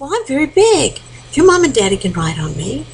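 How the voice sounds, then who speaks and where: A woman's high-pitched, put-on character voice amid clear background noise. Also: fairly quick pace. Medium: read story. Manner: warm, gentle.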